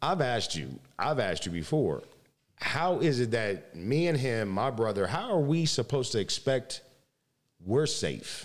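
Speaking with an American accent, a man has an animated tone and vocal fry. His pace is fairly slow, and his pitch swings very widely. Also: medium pitch for a man. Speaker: podcast host. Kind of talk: interview.

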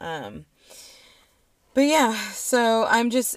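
Against a silent background on a very clean recording, a woman with an American accent speaks in an animated tone. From Aurora, Colorado. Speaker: tarot podcast co-host. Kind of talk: casual chat.

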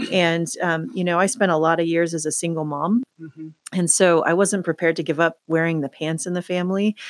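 A woman with an American accent speaks at a fairly quick pace in an ordinary speaking voice, her pitch fairly low with ordinary variation, hardly pausing at all, in a dry, close sound with no echo. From southern Oregon, US. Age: middle-aged. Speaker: nonprofit CEO. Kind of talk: casual interview chat. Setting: her office.

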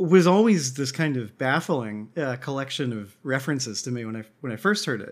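A man talks with lively intonation. His voice sits fairly high. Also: very clean recording, silent background. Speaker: podcast co-host. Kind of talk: casual chat. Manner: hesitant, many filler words.

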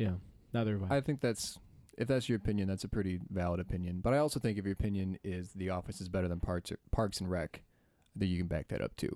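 A man with a very deep, low pitch and a dark, mellow tone talks at a very fast pace with ordinary pitch variation, in a very clean recording with a silent background and a dry, close sound with no echo. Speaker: guest family member, nonprofit co-founder.

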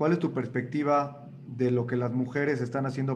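Monotone, flat intonation runs through a man's medium-pitched voice at a fairly quick pace. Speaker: moderator. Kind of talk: interview.

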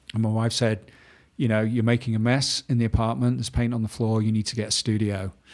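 In an English accent, a man rattles along at a very fast pace in a medium pitch, his intonation monotone and flat. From northern England, Manchester. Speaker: painter and former fashion illustrator. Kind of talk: casual interview.

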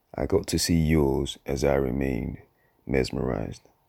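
A man's very deep, low-pitched voice with vocal fry, fairly slow pace and ordinary pitch variation, on a very clean recording with a silent background. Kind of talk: spoken-word poem performance. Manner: introspective, measured, lyrical cadence.

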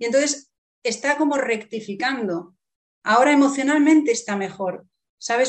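Speaking at a moderate pace, a woman has an ordinary speaking voice with ordinary pitch variation. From Spain. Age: 50s. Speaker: writer. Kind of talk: interview.

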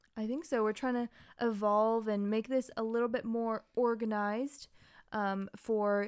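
Over a silent background in a very clean recording, a woman with a plain, everyday voice speaks at a fairly high pitch and a fairly slow pace. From Massachusetts suburbs and Hawaii, US. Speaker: podcast co-host. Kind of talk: casual chat. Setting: studio microphone.

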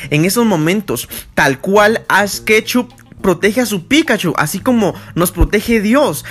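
Lively intonation and an animated tone carry this fairly slow delivery. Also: man. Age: 20s. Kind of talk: casual devotional monologue.

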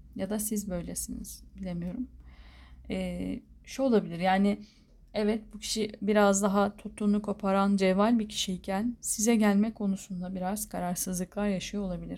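With monotone, flat intonation, a woman speaks at a medium pitch in a somewhat breathy voice. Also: moderate pace. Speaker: tarot reader. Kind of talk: tarot reading monologue.

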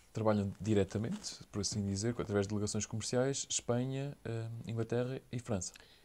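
In a dark, mellow tone, a man talks fairly quickly at a medium pitch with fairly even intonation. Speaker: podcast host. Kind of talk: interview.

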